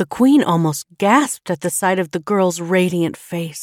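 Someone reads out plainly, with pitch that varies in an ordinary way.

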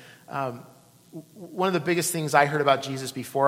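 Audible room echo surrounds a man whose fairly high voice keeps a fairly even intonation. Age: 40s. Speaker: pastor. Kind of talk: sermon.

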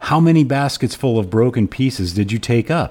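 Pitched at a medium level, a man speaks at a moderate pace with a warm tone and very wide pitch swings. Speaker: podcast host and cigar smoker. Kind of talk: scripture reading with commentary; casual podcast monologue. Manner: measured, even, reverent reading pace; warm, conversational, friendly.

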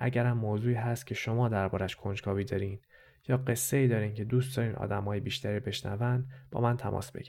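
Fairly even intonation holds across very fast speech. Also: man, medium pitch for a man. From Iran, Tehran. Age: 30s. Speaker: podcast host and narrator. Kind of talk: scripted narration.

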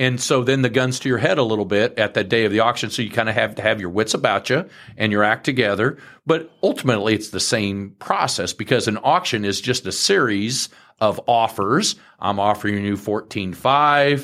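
Here a man speaks at a moderate pace and medium pitch with ordinary pitch variation, an unremarkable speaking voice. The recording is very clean, with a silent background. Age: 50s. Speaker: farmland broker and farm manager. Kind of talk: interview.

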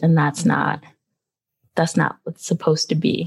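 A woman's fairly low voice with vocal fry, fairly even intonation, and an American accent. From Philadelphia, US. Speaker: physician and medical school teacher. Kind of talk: casual interview.

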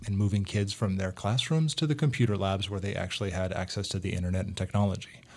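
A man talks at a very fast pace in a fairly low pitch with an American accent. His voice is somewhat breathy. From US, Greek American family. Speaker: school district technology director. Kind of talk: casual interview.

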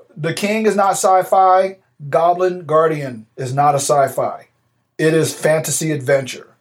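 This man has a plain, everyday voice with a fairly high pitch. He talks at a fairly slow pace. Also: ordinary pitch variation. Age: 40s. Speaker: podcast co-host, navy veteran. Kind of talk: casual chat.

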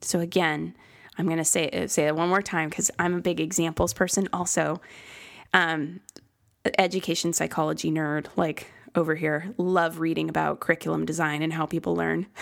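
A woman's fairly low voice with vocal fry and fairly even intonation, at a moderate pace, in a very clean recording over a silent background. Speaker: life coach trainer and podcast host. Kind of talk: solo podcast talk.

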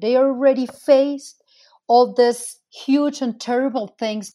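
A woman speaks at a high pitch with a Spanish accent and a dark, mellow tone. The recording is very clean, with a silent background. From Venezuela. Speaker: migrant advocate, nonprofit founder. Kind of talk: interview.

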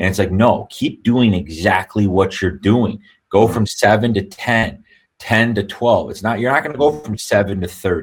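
The pace here is moderate. It is a plain, everyday voice, and its pitch varies in an ordinary way. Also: man. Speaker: real estate brokerage owner. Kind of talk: casual interview.

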